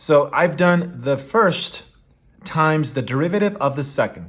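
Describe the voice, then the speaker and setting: A man speaks at a fairly high pitch with very wide pitch swings. His voice is somewhat breathy. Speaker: math tutor. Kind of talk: tutorial. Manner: casual, thinking aloud with fillers.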